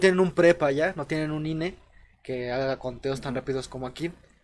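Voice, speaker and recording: Fairly quick and fairly high in pitch, a man talks in a plain, everyday voice. His pitch variation is ordinary. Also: big swings in loudness. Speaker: podcast host. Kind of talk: casual chat.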